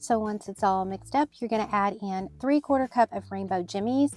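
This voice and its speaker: A woman with a Southern US accent speaks at a moderate pace with ordinary pitch variation as music plays in the background. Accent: American country. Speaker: baker. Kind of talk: recipe tutorial narration.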